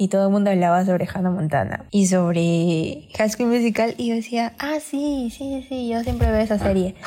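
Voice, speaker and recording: Her voice is a normal speaking voice, medium in pitch, with lively intonation. The woman keeps a moderate pace with hardly any pauses. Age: 20s. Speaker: podcast co-host. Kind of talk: casual chat.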